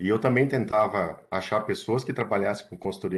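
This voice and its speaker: A man speaks with ordinary pitch variation. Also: quiet background. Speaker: environmental consultant and biologist. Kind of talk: online lecture. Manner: hesitant with fillers.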